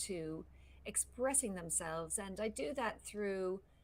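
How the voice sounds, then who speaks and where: In an Irish accent, a woman with a medium pitch talks at a moderate pace using lively intonation. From Ireland. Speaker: voice coach. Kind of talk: casual interview chat. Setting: live stream.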